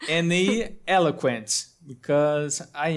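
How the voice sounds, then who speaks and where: A man with a Brazilian accent at a fairly slow pace, in a very clean recording with a silent background. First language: Portuguese. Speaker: wand maker. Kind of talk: casual chat. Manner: halting.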